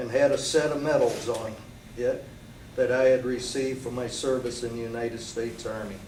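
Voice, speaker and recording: A man speaks at a medium pitch with an American accent and fairly even intonation. His moderate pace carries some audible room echo. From Michigan, US Midwest. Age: 60s. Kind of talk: prepared statement / testimony. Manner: formal, read-out statement with some stumbles.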